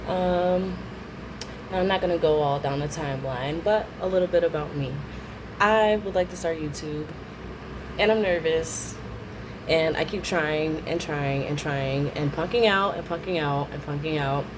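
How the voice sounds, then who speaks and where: A woman with a very deep, low pitch speaks at a moderate pace, leaving long, frequent pauses. Her pitch varies in an ordinary way amid noticeable background noise. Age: 30s. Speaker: stay-at-home mom. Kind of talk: casual talk to camera. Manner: nervous, hesitant.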